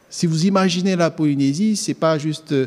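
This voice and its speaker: The man talks at a fairly slow pace. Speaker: theology student. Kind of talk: sermon.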